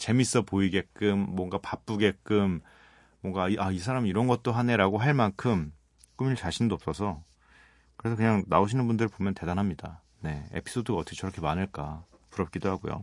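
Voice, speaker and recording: In a dry, close sound with no echo and a quiet background, a man speaks at a fairly quick pace in a relaxed tone, with a fairly low pitch and ordinary pitch variation. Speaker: radio DJ. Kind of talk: late-night radio talk. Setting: radio studio. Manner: relaxed, conversational.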